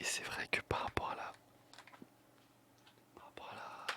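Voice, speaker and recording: Against noticeable background noise, a man whispers in a relaxed tone. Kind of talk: ASMR whisper-style talk to camera about controllers. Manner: relaxed, casual, jokey.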